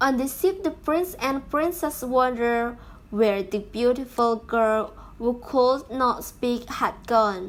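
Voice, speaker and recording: A woman with a non-native accent speaks at a very slow pace in a high pitch. Her pitch varies in an ordinary way. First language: not English. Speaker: YouTuber reading stories. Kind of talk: reading aloud. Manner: halting.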